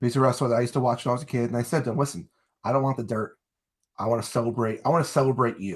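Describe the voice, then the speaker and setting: A man with a New Jersey accent talks at a very fast pace in a medium pitch, his voice somewhat breathy, with ordinary pitch variation over a quiet background. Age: 40s. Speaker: wrestling interview show host and salesman. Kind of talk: casual interview chat.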